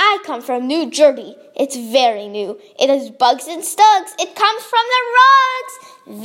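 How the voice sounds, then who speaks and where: Doing a put-on character voice, a woman projects loudly at a high pitch, moving at a fairly slow pace with very wide pitch swings. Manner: silly, mocking.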